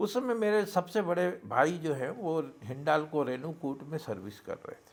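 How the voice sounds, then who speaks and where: A man's fairly high pitch, with very wide pitch swings and big swings in loudness. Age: 70s. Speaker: interview guest sharing life story. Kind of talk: interview storytelling.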